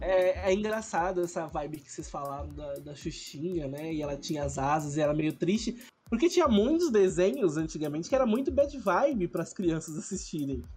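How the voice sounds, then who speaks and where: A man with a high voice talks at a fairly quick pace, his intonation lively and his loudness swinging widely. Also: hardly any pauses. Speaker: podcast host. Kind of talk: casual chat.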